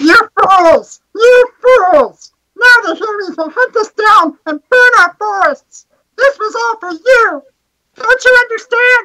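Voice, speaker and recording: A put-on character voice, extremely high in pitch, moves at a fairly slow pace. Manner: angry, scolding.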